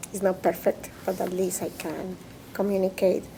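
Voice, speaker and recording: A woman with a Spanish accent, medium pitch and a fairly slow pace. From Colombia, Bogota. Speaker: immigrant interviewee, interpreter. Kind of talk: interview testimony. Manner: halting, with hesitations and self-corrections.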